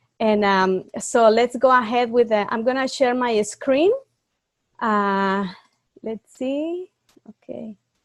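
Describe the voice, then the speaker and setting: With a Spanish accent and a fairly high pitch, a woman speaks at a very slow pace with long, frequent pauses, ordinary pitch variation and big swings in loudness, in a dry, close recording with no echo. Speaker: youth club leader. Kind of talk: online training class. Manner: halting.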